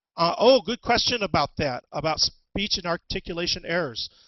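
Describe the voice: A man speaks at a moderate pace with a high pitch. His intonation is lively.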